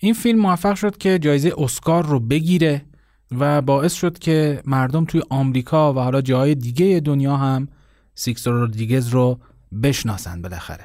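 A dark, mellow tone at a moderate pace comes through on a very clean recording with a silent background. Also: man, fairly high pitch for a man, lively intonation. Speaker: podcast host. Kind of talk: scripted narration.

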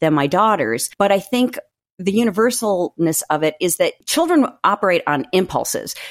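In a plain, everyday voice with an American accent, a woman speaks at a moderate pace with lively intonation. The recording is very clean and dry and close, with no echo and a silent background. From US Northeast and Midwest. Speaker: author. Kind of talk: casual chat.

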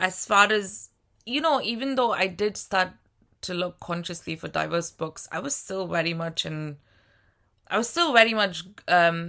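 In a very clean recording with a silent background, a woman talks at a fairly slow pace with a medium pitch and a bright, sharp tone. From India. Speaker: podcast co-host, publishing professional. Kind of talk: casual chat.

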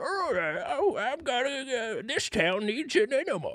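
Someone puts on a high-pitched character voice at a very slow pace. Light background noise is present.

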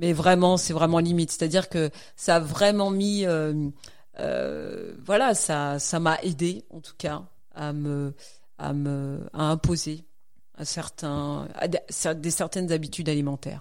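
Speaking at a very slow pace with long, frequent pauses, a woman uses a very deep, low pitch and ordinary pitch variation. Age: 40s. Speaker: night nurse and marathon runner. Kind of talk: casual interview. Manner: halting.

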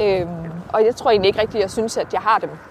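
Speech moves at a fairly quick pace with fairly even intonation. Noticeable background noise runs underneath. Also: woman. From Denmark, Herning area (central Jutland). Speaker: local politician. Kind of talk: casual interview. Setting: outdoors, walking.

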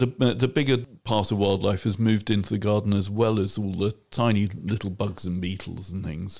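In an ordinary speaking voice, a man with a fairly low pitch talks at a moderate pace with fairly even intonation and hardly any pauses, on a very clean recording with a silent background. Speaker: podcast host. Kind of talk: casual chat.

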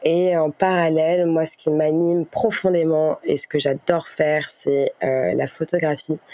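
Spoken at a fairly slow pace with fairly even intonation, the voice comes over noticeable background noise. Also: woman. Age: 20s. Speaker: podcast guest sharing personal story. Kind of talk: testimony. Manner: hesitant, many fillers and repetitions.

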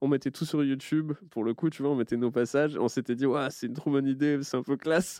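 Very fast, nearly pause-free speech from a man, fairly high in pitch with a dark, mellow tone and fairly even intonation, dry and close with no echo against a quiet background. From French countryside. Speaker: comedian and podcast host. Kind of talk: casual chat.

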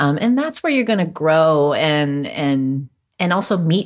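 A woman's very deep, low voice with a Californian accent at a moderate pace. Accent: general American, Californian. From Los Angeles, California, US. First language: Cantonese. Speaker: chef, cooking competition winner. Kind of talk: casual interview conversation.

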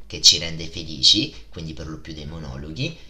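A man's voice with audible room echo. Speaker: podcast host. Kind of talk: casual podcast monologue. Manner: animated.

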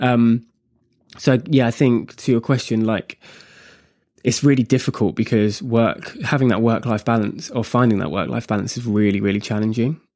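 A man with a British accent speaks at a moderate pace and medium pitch with ordinary pitch variation, on a very clean recording with a silent background. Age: 20s. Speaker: co-founder of a men's mental health social initiative. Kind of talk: interview. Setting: studio.

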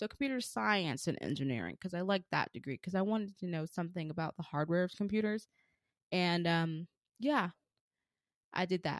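In a very clean recording with a silent background and a dry, close sound with no echo, a woman with fairly low pitch talks at a fairly quick pace in an animated tone, with lively intonation and long, frequent pauses. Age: 20s. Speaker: podcast host. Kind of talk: casual solo monologue. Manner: animated, laughs often.

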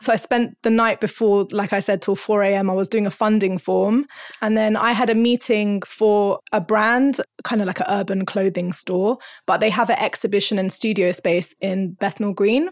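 A woman with a London accent at a fairly high pitch and a moderate pace, with fairly even intonation and very even loudness, in a very clean recording with a silent background. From North London. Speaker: rapper and arts education coordinator. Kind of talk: casual interview.

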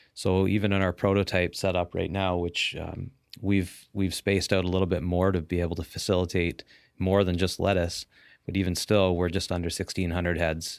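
A very deep, low man's voice with a Canadian accent, monotone and flat at a fairly quick pace, on a very clean recording with a silent background. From Ontario, Canada. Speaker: entrepreneur, farmer. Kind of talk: casual interview. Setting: studio.

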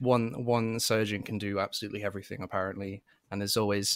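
A man speaks very fast in a fairly low, monotone, flat voice. The recording is very clean and dry, close with no echo and a silent background. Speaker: YouTuber and podcast host. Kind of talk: casual interview chat.

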